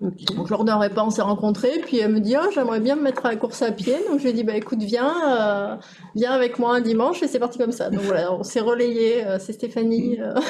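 The pace here is fairly quick, in an unremarkable speaking voice. Pitch moves up and down in an ordinary way. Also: woman, fairly high pitch for a woman. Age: 40s. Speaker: insurance team manager. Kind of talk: casual interview.

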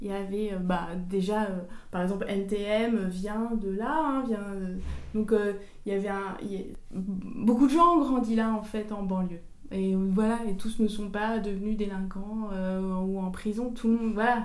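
Amid noticeable background noise and audible room echo, a woman speaks at a fairly slow pace and medium pitch with fairly even intonation. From Paris suburbs, France. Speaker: author and screenwriter. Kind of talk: interview. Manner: halting, many repetitions and fillers.

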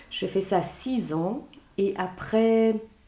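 A woman speaks with ordinary pitch variation. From Belgium and Luxembourg. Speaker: author and burnout expert. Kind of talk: interview.

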